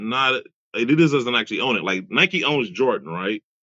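Very wide pitch swings and vocal fry in an American accent. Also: man. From US, Detroit. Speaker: sneaker podcast host. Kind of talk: casual interview. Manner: fast.

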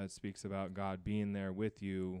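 In a very clean recording with a silent background, a man with an American accent speaks at a moderate pace in a very deep, low pitch with monotone, flat intonation. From US Southwest, New Mexico and Arizona. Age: 30s. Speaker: podcast co-host. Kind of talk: casual chat.

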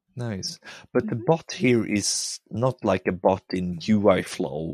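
With a Swedish accent, a man speaks on a very clean recording with a silent background. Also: dry, close sound with no echo. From Sweden, countryside. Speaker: podcast host. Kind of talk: casual interview.

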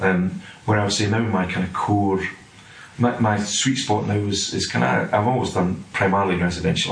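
Amid noticeable background noise, a man with a Scottish accent speaks in a fairly low voice with ordinary pitch variation. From Scotland. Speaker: property development director. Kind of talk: casual interview.

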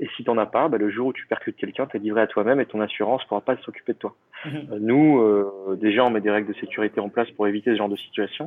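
Talking at a very fast pace, a man keeps his intonation fairly even at a fairly low pitch. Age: 30s. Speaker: travel entrepreneur. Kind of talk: interview.

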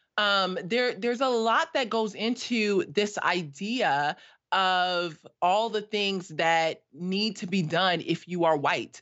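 A woman's medium-pitched voice in an American accent, very slow, with lively intonation. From US West Coast, South Los Angeles. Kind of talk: casual chat.

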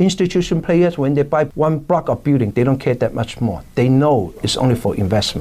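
A man with a Hong Kong accent talks at a fairly quick pace and a fairly high pitch, with hardly any pauses. His intonation is lively and his loudness very even. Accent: Hong Kong Cantonese. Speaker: real estate broker. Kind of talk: interview.

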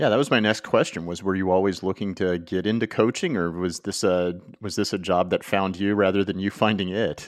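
Speaking with an American accent, a man uses a very deep, low pitch and fairly even intonation at a fairly quick pace. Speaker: podcast host. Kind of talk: casual chat.

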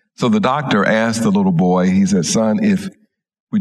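The background stays quiet behind a natural reading voice.

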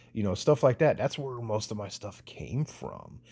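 Lively intonation marks this man's dark, mellow, somewhat breathy tone at a moderate pace. The recording is very clean, with a silent background. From US South. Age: 40s. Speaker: podcast host. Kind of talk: casual monologue.

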